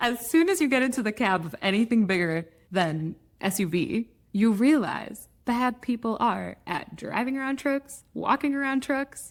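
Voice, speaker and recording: A woman speaks in an American accent at a moderate pace. Her fairly high pitch moves in very wide swings. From Michigan, US Midwest. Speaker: podcast host. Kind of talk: podcast interview.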